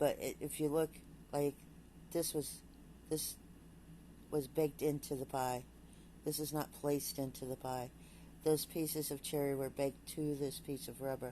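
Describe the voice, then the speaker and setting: A woman with a very deep, low pitch and a dark, mellow tone speaks at a moderate pace in a flat monotone, leaving long, frequent pauses. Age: 60s. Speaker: vlogger. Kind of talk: casual vlog monologue. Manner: halting.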